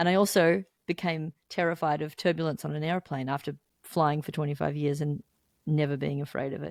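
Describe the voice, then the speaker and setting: A woman with an Australian accent and a very deep, low voice, ordinary pitch variation, on a very clean recording with a silent background. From Melbourne, Australia. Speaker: musician, songwriter, guitarist. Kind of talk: interview answer.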